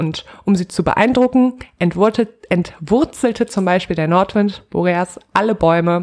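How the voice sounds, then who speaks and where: A woman's medium pitch with ordinary variation, at a very slow pace. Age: 20s. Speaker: podcast co-host retelling Greek myths. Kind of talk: casual chat with myth storytelling.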